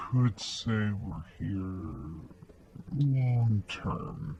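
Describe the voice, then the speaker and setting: Putting on a character voice, a man speaks in a gravelly, fairly low tone. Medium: read story. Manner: lax, casual, veiled menace.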